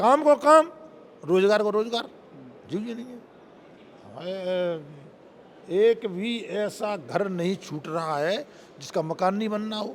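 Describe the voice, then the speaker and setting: A man speaks in an animated tone with a high-pitched voice. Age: 60s. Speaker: politician. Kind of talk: interview.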